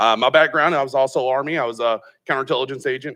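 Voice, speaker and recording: In a Texan accent, a man speaks with a bright, sharp tone and fairly even intonation. The background is quiet. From Texas, Austin area. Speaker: tech company founder, Army veteran. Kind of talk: panel discussion.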